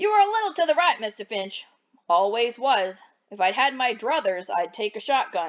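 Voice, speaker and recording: A put-on character voice swings very widely in pitch. The pace is moderate. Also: woman, fairly high pitch for a woman. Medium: read story. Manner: gruff, plain-spoken.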